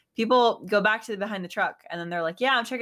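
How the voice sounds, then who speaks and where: This woman's voice sits at a medium pitch and shows ordinary pitch variation. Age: 20s. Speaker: streamer. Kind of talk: casual chat.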